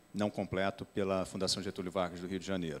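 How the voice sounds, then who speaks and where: A man's voice with a very deep, low pitch. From Brazil, outside São Paulo. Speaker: company president; company president on panel. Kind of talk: panel discussion. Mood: relaxed, light humor. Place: hall. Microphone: handheld.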